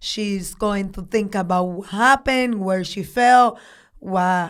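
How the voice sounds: A woman with a Dominican accent speaks at a slow pace and a medium pitch, with ordinary pitch variation. The recording is very clean, with a silent background.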